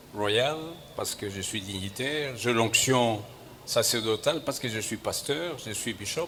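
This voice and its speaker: Speaking very slowly with long, frequent pauses, a man uses ordinary pitch variation amid audible room echo. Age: 70s. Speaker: bishop. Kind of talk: sermon. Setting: church.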